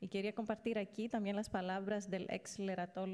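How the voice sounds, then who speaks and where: A woman with a non-native accent, a dark, mellow tone and monotone, flat intonation. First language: not Spanish (speaking Spanish). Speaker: invited speaker on ageing and human rights. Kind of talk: lecture. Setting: stage with audience. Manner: halting.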